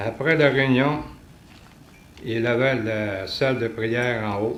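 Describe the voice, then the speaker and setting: A man with a Quebec accent speaks at a medium pitch with fairly even intonation. Noticeable background noise is present. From Quebec City, Canada. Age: 70s. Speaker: retiree. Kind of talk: religious testimony talk.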